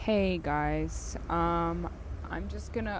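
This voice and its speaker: A woman talks, and audible room echo follows her words. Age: 18. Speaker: travel vlogger. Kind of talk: casual vlog monologue. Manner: hesitant, many fillers.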